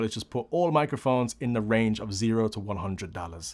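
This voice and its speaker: In a very clean recording with a silent background, a man talks in an ordinary speaking voice at medium pitch, with ordinary pitch variation and a moderate pace. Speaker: audio producer and tutorial youtuber. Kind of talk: tutorial.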